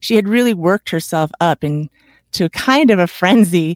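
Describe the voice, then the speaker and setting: A woman's fairly low voice, a plain, everyday voice, with ordinary pitch variation and a fairly quick pace, dry and close with no echo, on a very clean recording with a silent background. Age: 50s. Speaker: retired chiropractor and podcaster. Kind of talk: interview.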